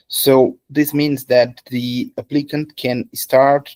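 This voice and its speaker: Here a man with a Portuguese accent speaks at a medium pitch in a monotone, flat intonation, with a dry, close sound and no echo. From Brazil, São Paulo. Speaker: immigration lawyer. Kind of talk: webinar explanation.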